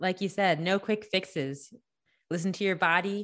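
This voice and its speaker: Against a quiet background, a woman speaks fairly slowly in a normal speaking voice, medium in pitch with ordinary pitch variation. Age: 20s. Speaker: podcast host. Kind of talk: interview.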